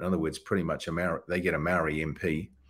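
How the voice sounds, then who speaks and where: A man speaks very fast with a New Zealand accent. The recording is very clean, with a silent background. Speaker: political campaigner. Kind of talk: interview.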